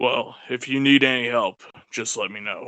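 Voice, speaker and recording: A man adopts a put-on character voice, raspy and at a medium pitch, delivered at a moderate pace. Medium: actual play. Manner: polite, easygoing.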